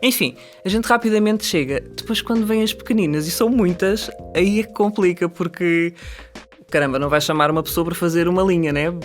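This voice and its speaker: Over music in the background, a woman with a European Portuguese accent talks fairly quickly at medium pitch with lively intonation. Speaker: actress, dubbing voice actor and dubbing director. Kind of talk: interview answer.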